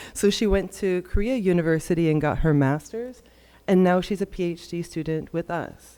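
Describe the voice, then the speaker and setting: Her tone is dark and mellow, with a fairly low pitch for a woman. She speaks at a moderate pace with ordinary pitch variation. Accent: American. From United States. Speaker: science communicator. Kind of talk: conference talk.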